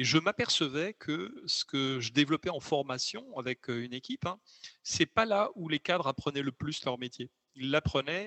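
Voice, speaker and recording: Here a man talks with lively intonation at a fairly high pitch. His pace is moderate. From southern France (Occitanie). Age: 50s. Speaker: learning researcher and author. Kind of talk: interview conversation. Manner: hesitant, many fillers and repetitions.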